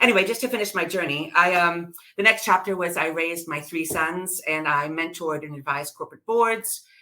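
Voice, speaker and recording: A woman with an American accent, fairly low in pitch, with ordinary pitch variation, big swings in loudness and hardly any pauses. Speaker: business advisor. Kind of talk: interview.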